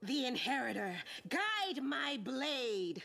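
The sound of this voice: A woman puts on a character voice, high-pitched with a bright, sharp tone and vocal fry. She speaks slowly with big pitch swings.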